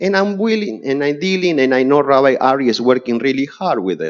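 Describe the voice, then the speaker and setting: Against a quiet background, a man with a strong Spanish accent talks at a fairly high pitch. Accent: heavy Spanish. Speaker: neighbor testifying at zoning hearing. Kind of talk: public hearing testimony. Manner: halting.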